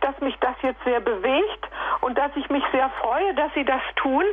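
High-pitched speech from a woman, lively in intonation, with noticeable background noise. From Sudetenland, then Sorbian Lusatia. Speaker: radio listener caller. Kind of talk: call-in testimony. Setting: phone call.

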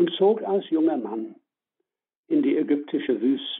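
A man is speaking. He has an English accent. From northern England (Leeds), Irish family. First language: English (speaking German). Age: 70s. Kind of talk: spiritual talk on prayer. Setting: phone call.

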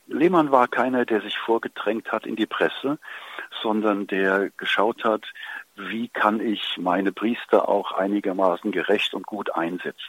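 In a plain, everyday voice, a man talks at a fairly slow pace with a fairly low pitch and ordinary pitch variation. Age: 60s. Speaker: priest. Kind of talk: interview.

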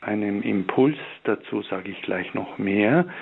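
A man at medium pitch speaks at a very slow pace. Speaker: hospital chaplain and author. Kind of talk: spiritual talk with prayer reading. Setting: video or phone link from Ingolstadt.

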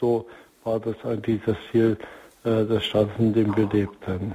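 A man with a normal speaking voice, medium pitch and a fairly slow pace. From East Germany. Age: 60s. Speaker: marriage counselor and organization leader. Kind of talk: radio interview. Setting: remote line.

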